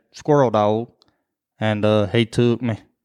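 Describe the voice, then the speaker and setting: A man with a rural Southern US accent, fairly slow and monotone with flat intonation, on a very clean recording with a silent background. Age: 30s. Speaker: podcast co-host, hunter. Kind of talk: casual chat.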